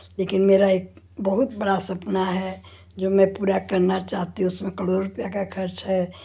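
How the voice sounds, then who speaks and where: A woman's dark, mellow, somewhat breathy voice with monotone, flat intonation. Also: medium pitch for a woman. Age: 70s. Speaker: homemaker vlogger. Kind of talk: personal monologue. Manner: conversational with fillers.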